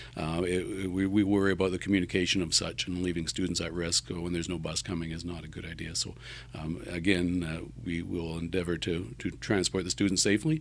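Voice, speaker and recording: Against a quiet background, a man with a very deep, low voice and vocal fry talks at a fairly quick pace with hardly any pauses. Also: fairly even intonation. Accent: Canadian. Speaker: school transportation manager. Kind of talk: interview conversation.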